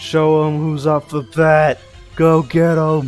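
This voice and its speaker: Using a put-on character voice, a man speaks fairly slowly at a fairly high pitch with monotone, flat intonation while faint music plays in the background. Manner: cackling, commanding.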